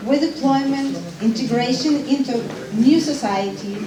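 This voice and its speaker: A woman with a Ukrainian accent talks in a high pitch with ordinary pitch variation, amid audible room echo and noticeable background noise. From Ukraine, Odessa. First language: Ukrainian or Russian. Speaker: refugee support worker. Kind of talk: public speech.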